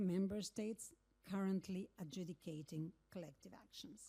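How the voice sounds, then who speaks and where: A woman with a Spanish accent speaks at a fairly slow pace. Her dark, mellow tone is somewhat breathy. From Argentina. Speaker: legal academic, keynote speaker. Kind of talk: keynote speech. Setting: conference stage with audience. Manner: formal.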